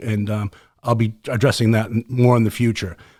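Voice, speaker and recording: The speaker is a man at medium pitch. He talks in a Boston accent. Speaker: podcast host, former special forces soldier. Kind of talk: casual podcast chat. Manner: fast; passionate.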